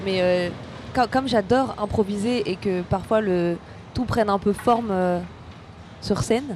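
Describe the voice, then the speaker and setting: A woman at medium pitch with ordinary pitch variation, fairly slow and full of long, frequent pauses, amid noticeable background noise. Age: 30s. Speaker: stand-up comedian. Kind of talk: casual chat.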